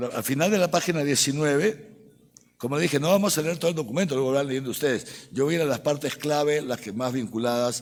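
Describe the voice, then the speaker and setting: A fairly high-pitched man speaks very fast, his pitch varying in an ordinary way. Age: 60s. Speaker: archbishop. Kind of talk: lecture. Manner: animated.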